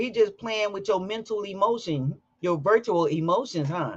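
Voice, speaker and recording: An American accent over a quiet background. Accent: sounds Southern, per coworker. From Chicago. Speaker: live-stream host. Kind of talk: casual chat. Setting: live stream.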